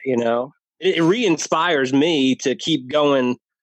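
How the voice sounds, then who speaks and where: At a fairly slow pace, a man with an American accent and an unremarkable speaking voice talks fairly high, with ordinary pitch variation. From New Jersey. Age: 40s. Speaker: podcast guest sharing weight-loss and sobriety story. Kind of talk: casual interview chat.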